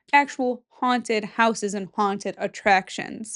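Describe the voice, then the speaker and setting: Animated in tone, a woman speaks with a Midwestern US accent. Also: quiet background. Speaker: podcast host. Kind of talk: casual chat.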